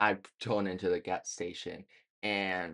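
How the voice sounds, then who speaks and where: The background is quiet. A man speaks in a monotone with flat intonation. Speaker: vlogger. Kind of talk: storytelling vlog. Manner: hesitant, many fillers; casual.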